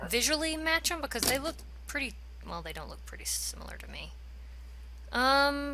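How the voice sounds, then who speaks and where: A woman with an American accent speaks in an animated tone at a moderate pace, her loudness swinging widely. Long, frequent pauses break up her speech, and the room echo is audible. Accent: southern US accent, comes and goes. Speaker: gaming youtuber. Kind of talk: let's play commentary. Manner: casual, animated.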